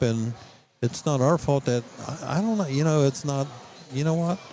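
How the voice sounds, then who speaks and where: Music plays in the background as a man speaks. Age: 70s. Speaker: football assistant coach. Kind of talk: interview. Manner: animated, emphatic.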